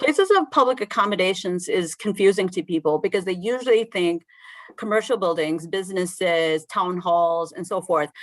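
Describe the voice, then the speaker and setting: A woman's unremarkable speaking voice at a medium pitch and moderate pace, with ordinary pitch variation, in a very clean recording against a silent background. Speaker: state agency head testifying. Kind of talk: committee testimony.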